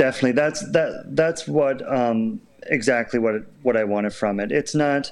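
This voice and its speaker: With a Canadian Maritime accent, a man speaks at a moderate pace in a medium-pitched voice full of lively intonation. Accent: Canadian Maritimes. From Prince Edward Island, Canada. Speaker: children's musician and step dancer. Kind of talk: interview. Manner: halting.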